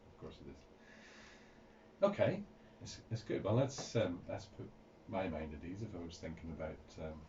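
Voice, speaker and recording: With audible room echo, a man speaks at a moderate pace with a very deep, low pitch, ordinary pitch variation, a somewhat breathy voice, big swings in loudness and long, frequent pauses. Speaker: radio host. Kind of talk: radio interview. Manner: halting, many fillers.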